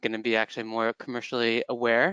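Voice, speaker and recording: A man with an American accent talks at a moderate pace in a bright, sharp tone. The sound is dry with no echo, over a quiet background. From California. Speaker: employer brand manager. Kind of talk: webinar presentation. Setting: online webinar. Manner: hesitant, many fillers. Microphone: headset.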